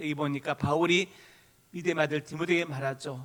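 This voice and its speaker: A man with a strong Gyeongsang accent speaks at a fairly high pitch. His pace is moderate and his intonation fairly even. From Gyeongsang Province, South Korea. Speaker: pastor. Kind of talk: sermon. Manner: forceful intonation that can sound angry.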